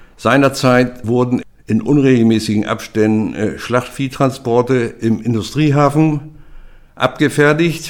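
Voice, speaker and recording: A man talks at a very slow pace, his medium-pitched voice keeping a fairly even intonation. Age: 70s. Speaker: retired freight forwarder. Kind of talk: oral history testimony.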